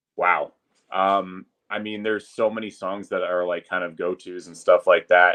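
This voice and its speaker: Moving at a moderate pace, a man speaks with big swings in loudness. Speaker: public address announcer. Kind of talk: podcast interview answer, casual conversation.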